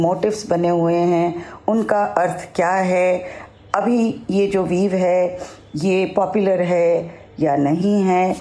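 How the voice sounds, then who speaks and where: Audible room echo and noticeable background noise surround a woman whose fairly low voice moves with ordinary pitch variation. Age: 60s. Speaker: retired broadcaster and Instagrammer. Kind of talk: personal account.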